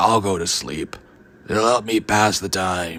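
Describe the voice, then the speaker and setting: Using a put-on character voice, a man speaks raspy and fairly low at a fairly slow pace. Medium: read story. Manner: stern, grandfatherly.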